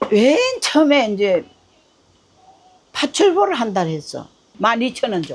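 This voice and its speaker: In a Gyeongsang accent, a woman with a fairly high voice speaks very slowly, making very wide pitch swings and long, frequent pauses. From North Gyeongsang, South Korea. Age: 80s+. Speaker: ramen shop owner. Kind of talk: interview answer. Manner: casual, plain-spoken.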